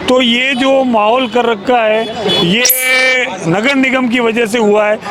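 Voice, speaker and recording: An extremely high-pitched man's voice with fairly even intonation, audible room echo and noticeable background noise. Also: very even loudness. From India, Udaipur, Rajasthan. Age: 70s. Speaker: pensioners' association office-bearer, local resident. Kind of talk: street interview.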